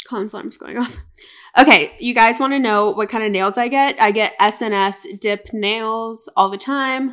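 Speaking fairly slowly in an unremarkable speaking voice, a woman with an American accent uses a fairly high pitch, ordinary pitch variation and big swings in loudness on a very clean recording with a silent background. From North Carolina, US. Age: 20s. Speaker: podcast co-host. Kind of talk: casual chat.

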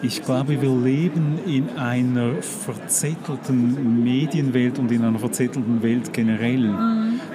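Over noticeable background noise, a man talks with hardly any pauses. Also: medium pitch for a man, ordinary pitch variation. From Switzerland. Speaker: magazine publisher. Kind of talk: casual chat. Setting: book fair.

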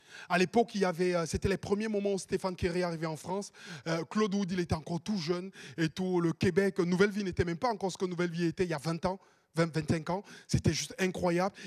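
Very fast and animated, a man speaks at a high pitch. The sound is dry and close, without echo. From Cameroon. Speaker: pastor. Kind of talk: sermon.

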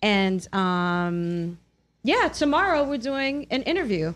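Against a quiet background, a woman's voice rises and falls in very wide pitch swings. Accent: New York. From New York. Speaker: radio host. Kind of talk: casual chat. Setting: studio.

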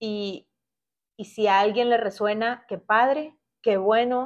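Over a quiet background, a woman talks at a very slow pace in a fairly high pitch with fairly even intonation. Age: 40s. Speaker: podcast host. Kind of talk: solo podcast monologue.

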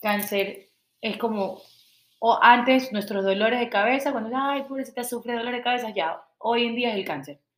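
A woman with an unremarkable speaking voice talks at a moderate pace, fairly high in pitch, with ordinary pitch variation. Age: 30s. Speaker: water product entrepreneur. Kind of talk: casual interview chat.

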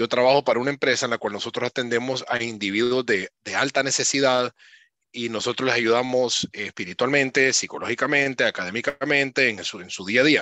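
This man has a normal speaking voice. His intonation is fairly even and his pace fairly quick. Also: medium pitch for a man. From Honduras. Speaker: conference speaker sharing personal testimony. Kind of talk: interview with personal testimony.

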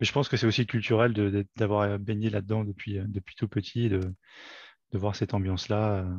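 Moderately paced, monotone speech from a man, fairly low in pitch and flat in intonation. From France, Paris region (Fresnes). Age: 40s. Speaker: amateur football player, referee and club volunteer. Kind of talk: casual interview. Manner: halting, many repetitions.

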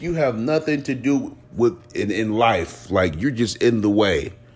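A man speaks in an animated tone with very wide pitch swings at a fairly slow pace, over noticeable background noise. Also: hardly any pauses. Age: 30s. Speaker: podcast host. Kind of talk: casual monologue.

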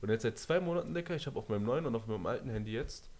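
This man talks with lively intonation. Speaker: podcast host. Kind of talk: casual chat. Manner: animated.

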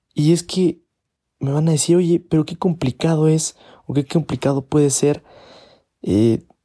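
A man's fairly high voice with a dark, mellow tone and fairly even intonation, fairly slow in pace and dry and close with no echo. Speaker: podcaster. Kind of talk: opinion monologue. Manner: halting.

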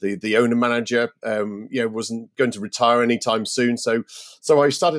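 Recorded with a dry, close sound and no echo, a man talks at a very fast pace with ordinary pitch variation. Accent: British. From Britain. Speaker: startup founder and CEO. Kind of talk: podcast interview. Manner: halting, many fillers.

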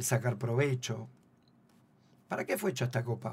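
A man talks at a medium pitch. Vocal fry runs through his voice. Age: 50s. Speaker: football coach. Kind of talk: radio interview.

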